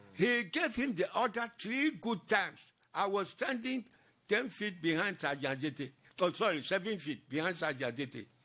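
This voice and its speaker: A man speaks in a high, raised, projected voice with a bright, sharp tone. His pitch swings very widely on a very clean recording with a silent background. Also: moderate pace. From Ghana, Accra (Osu). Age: 90s. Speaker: war veteran. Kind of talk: interview testimony.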